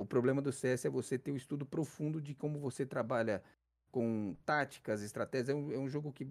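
A man with an ordinary speaking voice, fairly high pitched, at a moderate pace, on a very clean recording with a silent background. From Brazil, São Paulo city (south zone). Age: 30s. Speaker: esports caster and streamer. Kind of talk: casual interview.

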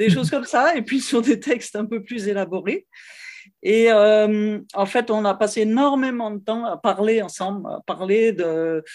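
On a very clean recording with a silent background, a woman uses an ordinary speaking voice at a fairly high pitch, talking fairly slowly with ordinary pitch variation. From France, Lyon. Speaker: cellist and music teacher. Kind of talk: interview conversation.

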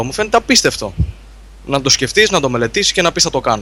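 Talking at a very fast pace, a man uses very wide pitch swings at a fairly high pitch. His tone is bright and sharp, with vocal fry. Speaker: gaming site contributor. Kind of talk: casual chat.

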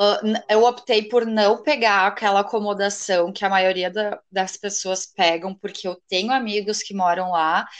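At a very slow pace, a woman with a southern Brazilian accent speaks with fairly even intonation. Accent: gaúcho Brazilian Portuguese. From Rio Grande do Sul, Brazil. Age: 20s. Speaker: law graduate, would-be exchange student. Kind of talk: casual interview chat.

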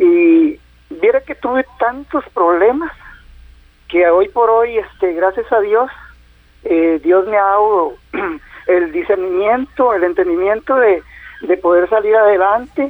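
With long, frequent pauses and a very slow pace, a man talks in a high pitch with lively intonation. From Costa Rica, southern Pacific region. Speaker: caller, caregiver of his mother. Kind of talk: phone-in call.

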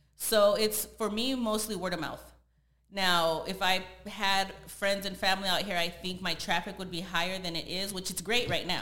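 Speaking with an American accent at a moderate pace, a woman uses a medium pitch and fairly even intonation in a room with audible echo. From San Jose, California. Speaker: body contouring business owner. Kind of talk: casual interview chat.

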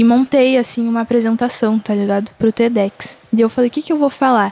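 The woman's tone is dark and mellow, her pitch fairly high. She talks at a fairly quick pace. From Rio Grande do Sul, Brazil. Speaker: singer-songwriter and slam poet. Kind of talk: casual interview.

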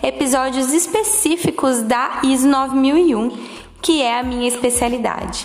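With audible room echo and noticeable background noise, a woman speaks fairly slowly in a high voice. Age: 20s. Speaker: quality management specialist. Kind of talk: solo podcast monologue.

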